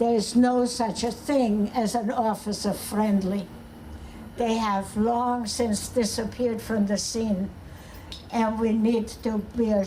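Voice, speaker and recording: Speaking at a very slow pace, a woman keeps a monotone, flat intonation. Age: 80s+. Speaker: activist. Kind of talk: protest rally speech.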